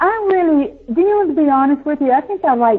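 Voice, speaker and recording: A woman speaks at a fairly quick pace. She has a Southern US accent. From US South. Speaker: psychic medium. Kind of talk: interview.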